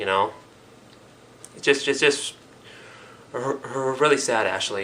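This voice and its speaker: A man talks with ordinary pitch variation while noticeable background noise carries on. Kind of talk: casual talk to camera. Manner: slight stutter.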